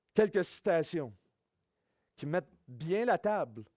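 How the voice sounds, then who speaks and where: A man with a high pitch talks at a fairly slow pace. The sound is dry and close with no echo, on a very clean recording with a silent background. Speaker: preacher. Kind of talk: sermon. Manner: informal, hesitant with fillers.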